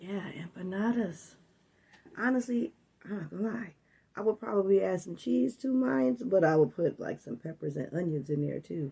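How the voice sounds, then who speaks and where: With an American accent, a woman speaks at a fairly low pitch in a dark, mellow, somewhat breathy tone, her pitch swinging very widely. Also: moderate pace. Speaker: food and weight-loss vlogger. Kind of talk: casual talk to camera. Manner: animated.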